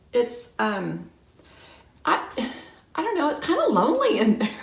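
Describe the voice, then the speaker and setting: A woman's voice with audible room echo. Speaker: realtor. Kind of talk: casual vlog talk to camera.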